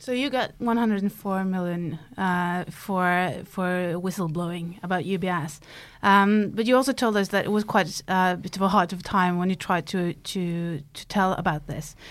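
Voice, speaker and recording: A woman with a Norwegian accent at a medium pitch and ordinary pitch variation, moderately paced with hardly any pauses, in a very clean recording with a silent background. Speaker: journalist, podcast host. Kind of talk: interview; scripted narration. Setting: studio.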